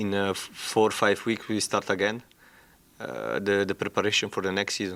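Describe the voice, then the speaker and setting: In a very clean recording with a silent background, a man with a non-native accent and a very deep, low pitch talks at a fairly quick pace. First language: not English. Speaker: football head coach. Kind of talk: press conference. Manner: halting, many hesitations.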